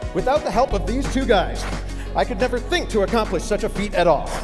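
With clear music in the background, a man talks at a fairly quick pace in an extremely high pitch, with lively intonation and a playful tone. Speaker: professional speaker, comedian and juggler. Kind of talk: motivational keynote stage talk to an audience. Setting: live stage demonstration with audience. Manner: playful, comedic instructional patter. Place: stage.

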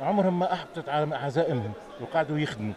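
A man at a moderate pace, in a dry recording with no echo and crowd noise in the background. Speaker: TV reporter. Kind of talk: on-location TV report. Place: market. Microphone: handheld.

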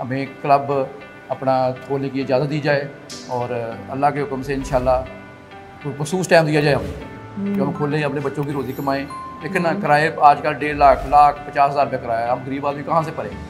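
Clear music plays in the background. Over it, a man speaks at a fairly high pitch. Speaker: bodybuilder. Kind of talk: interview answer. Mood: earnest, appealing for help. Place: gym. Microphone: handheld.

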